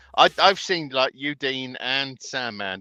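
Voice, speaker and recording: A man with a British accent speaks at a moderate pace in a medium pitch, his tone bright and sharp, the sound dry and close with no echo. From Britain. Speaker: truck driver. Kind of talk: casual chat.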